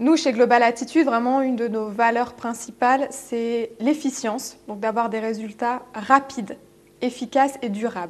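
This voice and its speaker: Her pitch high, a woman speaks at a fairly slow pace with fairly even intonation. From France. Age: 30s. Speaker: business coach. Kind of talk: interview. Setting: studio.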